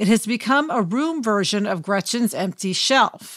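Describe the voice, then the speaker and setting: In a very clean recording with a silent background, a woman with an unremarkable speaking voice talks at a moderate pace, her fairly high pitch showing ordinary pitch variation. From Kansas City, US Midwest. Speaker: podcast co-host and TV writer. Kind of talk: casual chat.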